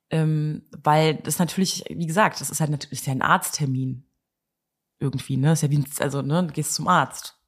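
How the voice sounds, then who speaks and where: A woman with a very deep, low pitch speaks in a somewhat breathy voice with fairly even intonation. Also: moderate pace. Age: 30s. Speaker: interviewee in fertility treatment. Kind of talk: casual interview. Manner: hesitant, many fillers.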